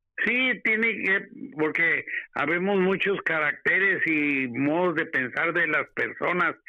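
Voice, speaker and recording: With an ordinary speaking voice, a man talks at a fairly slow pace with ordinary pitch variation. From Mexico (Torreón, Coahuila). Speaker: host's father, guest. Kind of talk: interview, personal storytelling.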